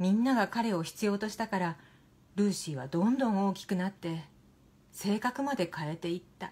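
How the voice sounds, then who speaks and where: At a moderate pace and medium pitch, a woman speaks in a calm, soothing tone that is somewhat breathy. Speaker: narrator. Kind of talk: literary reading. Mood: calm, gentle, soothing. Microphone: phone near.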